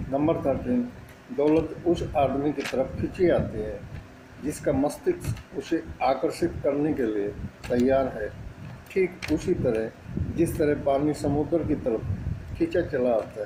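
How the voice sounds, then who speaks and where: A man speaks in a normal speaking voice, pitched fairly high for a man. His pitch varies in an ordinary way. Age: 60s. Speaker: network marketing motivational speaker. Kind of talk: motivational talk.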